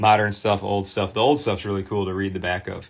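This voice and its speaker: With a Michigan accent, a man speaks at a fairly low pitch. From Michigan, US. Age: 40s. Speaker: sports card restorer and livestream host. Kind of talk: live stream presentation. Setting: live online stream. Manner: casual, filler-heavy.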